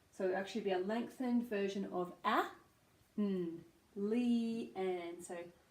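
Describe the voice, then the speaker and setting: A woman with an Australian accent at a fairly slow pace, with ordinary pitch variation. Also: medium pitch for a woman. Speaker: speech pathologist. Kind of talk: pronunciation lesson to camera.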